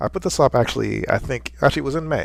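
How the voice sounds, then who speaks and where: Very wide pitch swings and vocal fry mark this man's voice. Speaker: visual artist. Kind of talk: casual talk to camera.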